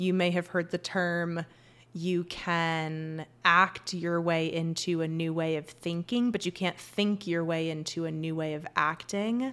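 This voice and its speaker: A woman with an ordinary speaking voice talks at a fairly slow pace and a fairly low pitch, her intonation fairly even. The recording is very clean, with a silent background. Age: 40s. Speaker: health coach. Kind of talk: casual solo podcast monologue.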